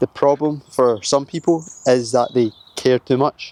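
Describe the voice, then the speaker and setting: The sound is dry and close with no echo as a man speaks at a fairly slow pace. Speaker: self-improvement vlogger. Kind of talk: casual talk to camera. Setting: filming himself on camera. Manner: monotone.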